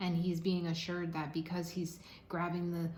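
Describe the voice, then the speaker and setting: Amid noticeable background noise and audible room echo, a woman speaks at a moderate pace with a fairly low pitch. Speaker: tarot card reader. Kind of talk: tarot reading monologue. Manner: halting, stuttering at times.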